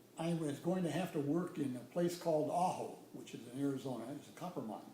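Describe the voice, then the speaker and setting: A very fast man's voice at a fairly high pitch, with audible room echo and noticeable background noise. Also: ordinary pitch variation. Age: 70s. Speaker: retired nuclear engineer. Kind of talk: casual interview. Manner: hesitant, many fillers.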